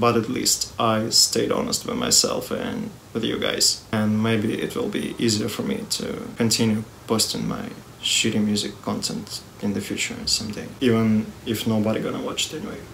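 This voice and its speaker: A man with a non-native accent talks at a moderate pace over noticeable background noise. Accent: non-native English pronunciation. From Russia. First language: Russian. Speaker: music youtuber. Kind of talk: personal video statement.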